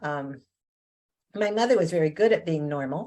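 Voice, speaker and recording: A woman with a Canadian accent has a very deep, low pitch, a dark, mellow tone and lively intonation. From Canada, Ontario. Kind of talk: interview. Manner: hesitant, many fillers.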